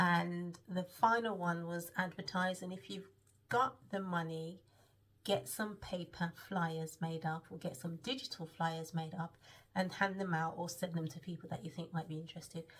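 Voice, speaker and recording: At a moderate pace, a woman speaks in a fairly low, somewhat breathy voice. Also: ordinary pitch variation. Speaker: web designer vlogger. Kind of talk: casual vlog. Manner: hesitant, many filler ums.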